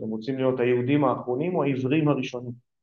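Audible room echo around a man's medium-pitched speech. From Israel. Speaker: political philosopher, think tank director. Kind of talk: lecture.

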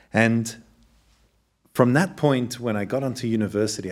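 This man talks at a fairly quick pace in a medium pitch, on a very clean recording with a silent background. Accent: Australian. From Australia. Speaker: scientist and communications executive. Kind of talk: interview conversation.

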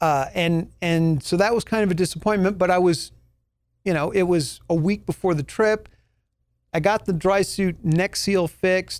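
A man's high voice at a moderate pace, with fairly even intonation and very even loudness, on a very clean recording against a silent background. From New Mexico, US. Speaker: podcast host and scuba instructor. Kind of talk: casual solo podcast talk.

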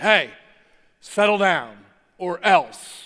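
A man's put-on character voice, high in pitch. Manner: yelling, threatening.

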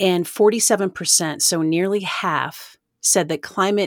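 Over a silent background in a very clean recording, a woman talks at a moderate pace. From US South, East Tennessee. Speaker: environmental lawyer and nonprofit executive. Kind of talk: interview.

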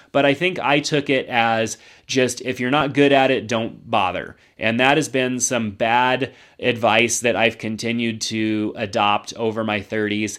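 A man talks in an unremarkable speaking voice at medium pitch, fairly slowly and with fairly even intonation. The recording is very clean, with a silent background. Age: 40s. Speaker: YouTuber and podcaster. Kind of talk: personal reflection monologue. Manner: casual, with frequent fillers.

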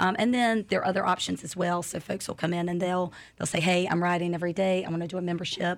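Speaking very fast with an American accent, a woman holds a fairly low pitch in a monotone, flat intonation. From North Carolina. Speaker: indoor cycling studio owner and instructor. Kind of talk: casual interview.

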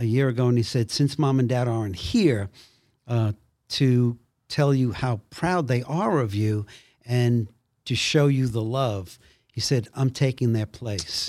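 A normal speaking voice from a man with an American accent, medium pitch and ordinary pitch variation, at a fairly slow pace, in a very clean recording with a silent background. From Brooklyn, New York. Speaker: actor. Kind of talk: testimony.

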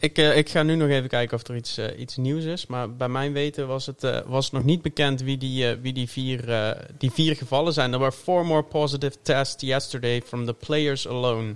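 A man's normal speaking voice at a moderate pace, with fairly even intonation and hardly any pauses. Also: medium pitch for a man. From Tilburg, southern Netherlands. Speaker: NFL fan and podcast guest. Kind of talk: casual chat.

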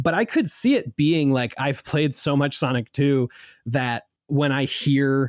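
With an American accent, a man speaks in an unremarkable speaking voice of medium pitch and ordinary pitch variation, the sound dry and close with no echo. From US, southern New Jersey. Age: 20s. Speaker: podcast producer. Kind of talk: casual interview chat.

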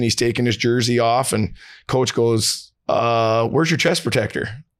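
At a moderate pace, a man with a plain, everyday voice speaks at medium pitch on a very clean recording with a silent background. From Canada, Vancouver. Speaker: former pro hockey player and high school coach. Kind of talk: casual chat.

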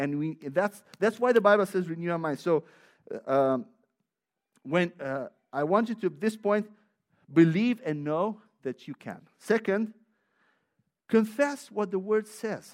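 A man with a Romanian accent and a high pitch, lively in intonation, at a fairly slow pace with long, frequent pauses. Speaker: visiting preacher. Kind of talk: sermon. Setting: church.

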